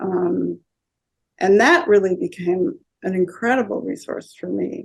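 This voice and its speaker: At a fairly slow pace, a woman talks with big swings in loudness. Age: 60s. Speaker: energy healer. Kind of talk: interview. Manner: halting, many filler words.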